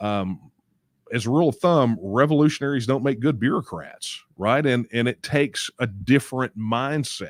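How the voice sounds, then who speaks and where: On a very clean recording with a silent background and a dry, close sound with no echo, a man with a Texas accent speaks at a moderate pace, medium in pitch with ordinary pitch variation. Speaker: political movement leader hosting Q&A. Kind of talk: live Q&A stream answering viewer questions. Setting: live stream. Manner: casual, with many fillers and repetitions.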